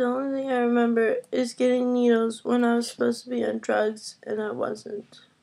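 High in pitch, a woman talks at a fairly quick pace with a monotone, flat intonation. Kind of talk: casual vlog chat. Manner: groggy, swollen-mouthed post-surgery speech. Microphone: webcam.

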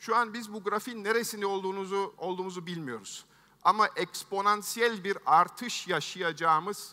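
A man's raised, projected voice, high-pitched with a bright, sharp tone, ordinary pitch variation, big swings in loudness and a moderate pace, against a quiet background. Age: 50s. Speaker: tech entrepreneur, keynote speaker; keynote speaker. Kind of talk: keynote speech. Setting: stage with audience. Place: stage. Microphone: headset.

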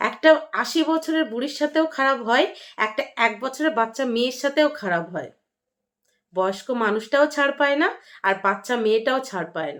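Against a silent background in a very clean recording, a woman speaks at a high pitch with lively intonation and big swings in loudness. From West Bengal, North 24 Parganas village. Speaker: vlogger and housewife. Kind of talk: vlog monologue.

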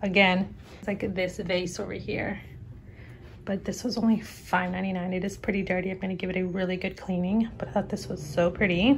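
Light background noise sits behind a woman whose voice is somewhat breathy. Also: medium pitch for a woman, moderate pace. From Texas. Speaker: YouTuber, lifestyle vlogger. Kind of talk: casual vlog haul, talking to camera. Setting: at home, living room, parrot in background. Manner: animated. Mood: pleased, gentle. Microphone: phone near.

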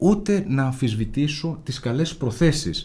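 A man's somewhat breathy voice, dark and mellow in tone, with very wide pitch swings. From Greece, Central Macedonia (Imathia); Central Macedonia, Greece. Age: 40s. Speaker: lawyer and local election candidate; lawyer, election candidate. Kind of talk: interview. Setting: studio. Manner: formal. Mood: earnest political argument. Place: studio. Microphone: studio mic.

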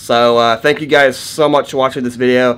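The voice has a fairly bright tone, moving at a moderate pace with fairly even intonation. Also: man, medium pitch for a man.

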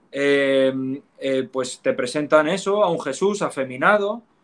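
Lively intonation runs through this speaker's delivery. He is a man with a Spanish accent. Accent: Spanish (Spain). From Spain, Asturias. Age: 20s. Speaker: former Protestant convert to Catholicism. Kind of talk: interview conversation.

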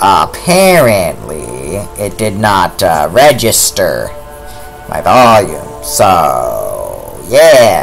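A man speaks over faint music in the background. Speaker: gaming streamer. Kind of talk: casual gameplay commentary. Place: home room.

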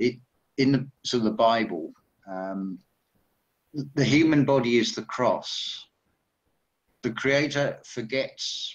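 Over a quiet background, a man talks at a very slow pace with long, frequent pauses. His pitch varies in an ordinary way. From Essex, England; England. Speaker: spiritual commentator. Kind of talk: casual chat; group discussion on a call. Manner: halting. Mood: reflective, spiritual topics. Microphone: video call.

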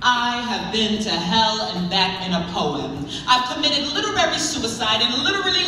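A woman at a fairly slow pace, with audible room echo and light background noise. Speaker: poet performing on stage. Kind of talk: spoken word poetry performance. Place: hall.

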